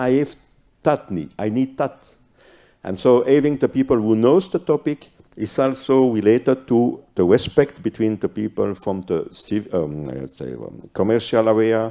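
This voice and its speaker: With a non-native accent, a man speaks at a moderate pace and a medium pitch. His tone is dark and mellow, and his intonation is lively. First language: not English. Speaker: cybercrime police officer, panelist. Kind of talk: panel discussion. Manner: halting.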